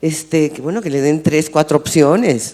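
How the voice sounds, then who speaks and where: This woman's voice is very deep and low. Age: 70s. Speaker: panelist. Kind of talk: panel discussion. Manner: animated.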